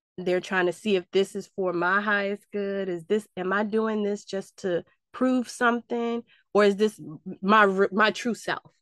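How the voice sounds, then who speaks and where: A woman speaks at a fairly slow pace in a medium pitch, with a dry, close sound, no echo and a quiet background. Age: 40s. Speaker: podcast host. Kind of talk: casual chat. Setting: video call. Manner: animated.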